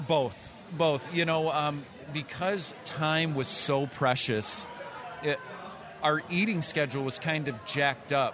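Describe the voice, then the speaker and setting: Over noticeable background noise, a man speaks at a fairly slow pace with long, frequent pauses, very even loudness and ordinary pitch variation. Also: fairly high pitch for a man. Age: 30s. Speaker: drummer and entrepreneur. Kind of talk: casual chat. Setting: restaurant with live recording.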